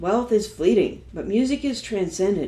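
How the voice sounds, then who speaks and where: In a Texan accent, a woman speaks at a moderate pace with a dark, mellow tone and vocal fry. Her intonation is lively, and the room echo is audible. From Texas, Dallas. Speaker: singer-songwriter. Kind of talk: interview monologue.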